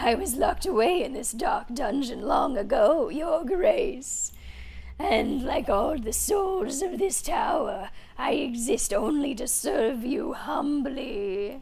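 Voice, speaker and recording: A female-sounding put-on character voice, high-pitched, moves at a fairly slow pace over clear background noise. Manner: humble, servile, fawning.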